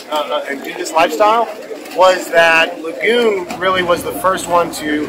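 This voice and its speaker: A man's high-pitched voice at a fairly slow pace amid noticeable background noise. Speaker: sailing vlogger. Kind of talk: casual vlog chat. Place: waterside. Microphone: phone near.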